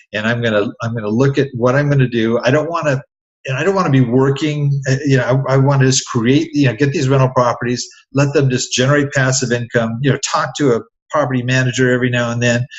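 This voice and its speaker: The voice is somewhat breathy, with fairly even intonation. It moves at a very fast pace. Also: man, medium pitch for a man. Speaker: real estate investor and podcaster. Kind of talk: interview. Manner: halting, many fillers.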